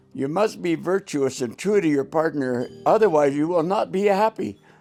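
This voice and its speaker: With music in the background, a man speaks at a moderate pace, his pitch swinging very widely. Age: 80s+. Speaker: grandfather giving wedding advice. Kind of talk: casual advice talk.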